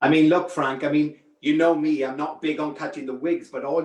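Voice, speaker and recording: A man's fairly high, fairly quick voice in a Welsh accent, with fairly even intonation. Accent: Welsh accent, still there. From Wales. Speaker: wig designer. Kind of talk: live product demo chat. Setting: live stream video call.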